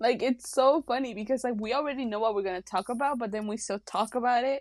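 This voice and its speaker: Talking at a very fast pace, a high-pitched woman keeps her intonation fairly even in a dry, close sound with no echo on a very clean recording with a silent background. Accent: Mexican. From Mexico. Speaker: podcast co-host. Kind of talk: casual chat.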